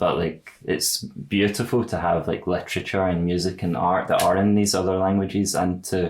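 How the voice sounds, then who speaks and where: With a very deep, low pitch, a man talks at a moderate pace, with hardly any pauses, fairly even intonation and very even loudness. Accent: slight Glaswegian. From Scotland, Glasgow. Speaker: podcast host. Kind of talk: casual interview conversation.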